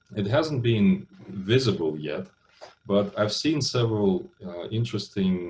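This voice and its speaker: Somewhat breathy man with a Russian accent, medium pitch, very wide pitch swings and a fairly slow pace. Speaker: business school lecturer. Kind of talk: lecture. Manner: hesitant, many fillers.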